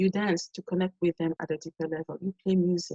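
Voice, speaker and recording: A woman's medium-pitched voice with a French accent, somewhat breathy and dark and mellow in tone, fairly quick with fairly even intonation, in a dry, close sound with no echo. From Cameroon. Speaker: performer and community teacher. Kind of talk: webinar presentation. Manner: repetitive false starts.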